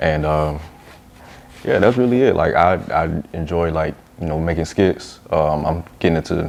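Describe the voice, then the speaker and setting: The speech moves at a moderate pace with long, frequent pauses and ordinary pitch variation over noticeable background noise. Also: man, very deep, low pitch for a man. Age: 20s. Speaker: YouTuber and filmmaker. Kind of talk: casual interview.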